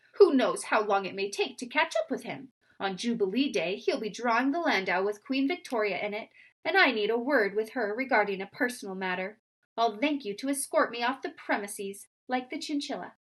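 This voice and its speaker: A woman does a put-on character voice at a fairly high pitch. She talks at a fairly quick pace. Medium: read story. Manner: self-important, grandly dignified.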